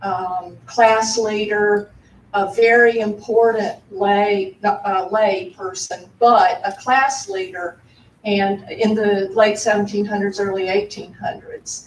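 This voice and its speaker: At a very slow pace, a woman with a Southern US accent talks at a medium pitch with fairly even intonation. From US South, South Carolina. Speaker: audience member asking a question. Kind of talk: audience question at panel.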